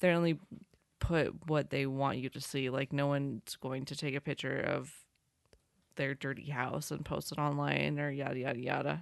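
Against a quiet background, a woman with very deep, low pitch and vocal fry speaks at a moderate pace in a monotone, flat intonation. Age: 20s. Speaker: podcast co-host. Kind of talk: casual chat.

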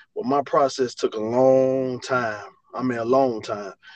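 With an Alabama accent, a man speaks at a medium pitch. His pace is moderate and his intonation fairly even. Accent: Southern US (Alabama). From Alabama, US South. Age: 40s. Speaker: college football running back coach. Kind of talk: interview. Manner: halting, many fillers and repeats.

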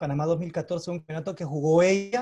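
A man speaks at a fairly quick pace in a high voice. His tone is dark and mellow, with ordinary pitch variation. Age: 40s. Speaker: bowler and diplomat. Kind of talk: interview. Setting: video call.

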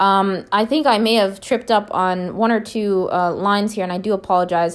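A woman with an American accent talks at a fairly quick pace, with hardly any pauses, at a medium pitch. Her intonation is fairly even, and the recording is very clean with a silent background. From Minnesota, US. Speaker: poetry podcast host. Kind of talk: poetry reading and commentary. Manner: hesitant, many fillers.

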